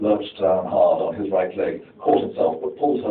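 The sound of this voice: The recording presents an unforced reading voice.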